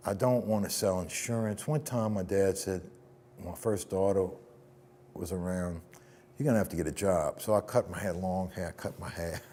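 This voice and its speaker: This man talks at a moderate pace with a fairly low pitch and a dark, mellow tone. His pitch varies in an ordinary way, and he leaves long, frequent pauses. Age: 60s. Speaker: musician and record producer. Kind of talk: interview. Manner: animated.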